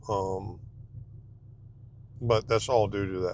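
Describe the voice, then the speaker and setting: A soft-spoken man with a Southern US accent talks at a very slow pace in a fairly low pitch. His intonation is lively, and vocal fry runs through his voice. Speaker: dumpster rental business owner. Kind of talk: casual vlog while driving. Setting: in a truck. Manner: hesitant, many fillers. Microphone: wearing a new clip mic.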